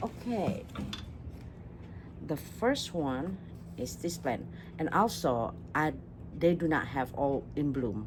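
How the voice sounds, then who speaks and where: Long, frequent pauses break up delivery that is very slow in pace. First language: not English. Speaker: orchid hobbyist YouTuber. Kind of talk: casual haul video talk. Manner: halting, many fillers and restarts.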